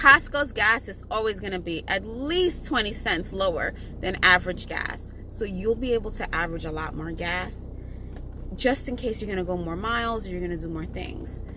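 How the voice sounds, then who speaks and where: A woman speaks at a moderate pace while noticeable background noise fills the clip. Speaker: gig delivery shopper vlogger. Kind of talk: casual tutorial vlog. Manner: casual, chatty; halting, stumbles over words.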